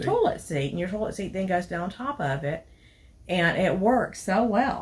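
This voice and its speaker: Over noticeable background noise, a woman talks at a moderate pace with a Southern US accent. Her medium-pitched voice has lively intonation. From Tennessee. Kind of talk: casual product review to camera.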